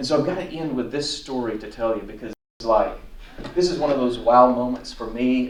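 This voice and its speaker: A man is speaking. The recording has audible room echo and noticeable background noise. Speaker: pastor and speaker on encephalitis recovery. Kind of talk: conference talk. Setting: conference stage with audience.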